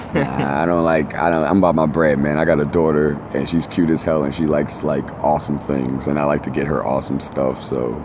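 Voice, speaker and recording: Speaking with a New York accent, a man has a very deep, low pitch and a fairly quick pace. Noticeable background noise and audible room echo are present. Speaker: tattoo artist and reality TV cast member. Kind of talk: casual interview chat. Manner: animated.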